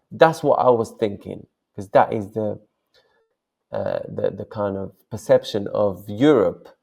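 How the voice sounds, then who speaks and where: A man speaks with a Moroccan accent. He talks at a fairly slow pace. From Morocco. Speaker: software founder and online seller. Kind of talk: interview. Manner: hesitant, many fillers.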